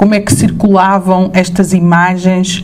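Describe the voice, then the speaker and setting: A woman's medium-pitched voice with a European Portuguese accent at a moderate pace, with noticeable background noise and audible room echo. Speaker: professor. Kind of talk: lecture. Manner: hesitant, many fillers.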